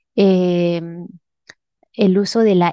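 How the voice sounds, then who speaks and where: The speaker is a woman. Her delivery has monotone, flat intonation. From Peru, Huánuco (central highlands). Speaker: head of an advanced analytics team. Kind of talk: interview.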